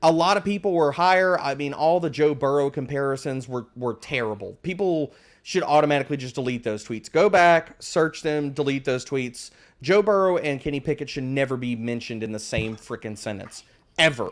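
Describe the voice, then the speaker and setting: Moving at a fairly quick pace, a man speaks at a fairly high pitch with ordinary pitch variation. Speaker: fantasy football analyst guest. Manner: high-energy, animated.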